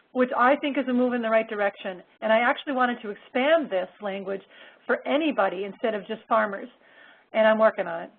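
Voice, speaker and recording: A woman speaks at a very fast pace. Her loudness swings widely. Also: fairly high pitch for a woman, ordinary pitch variation. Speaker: state environmental agency staff presenter. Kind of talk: webinar presentation.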